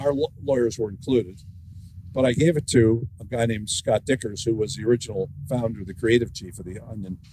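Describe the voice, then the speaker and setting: Somewhat breathy delivery with a dark, mellow tone, ordinary pitch variation, and a moderate pace. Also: man. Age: 70s. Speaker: author and former newspaper editor. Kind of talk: author talk with conversation.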